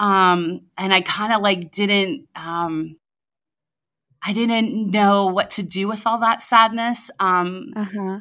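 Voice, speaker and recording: A woman's bright, sharp tone at medium pitch, very slow and fairly even in intonation, in a very clean recording with a silent background. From US South. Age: 40s. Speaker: lawyer. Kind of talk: casual chat.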